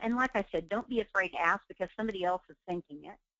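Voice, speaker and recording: This is a woman's voice. She speaks with an Oklahoma accent. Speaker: real estate trainer. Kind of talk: webinar training.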